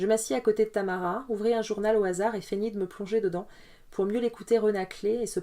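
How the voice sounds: This is a natural reading voice. The intonation stays fairly even.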